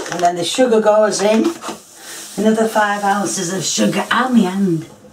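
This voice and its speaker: Amid noticeable background noise and audible room echo, a woman speaks at a moderate pace and a medium pitch with ordinary pitch variation. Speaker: home cook. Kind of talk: cooking tutorial. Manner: casual, chatty.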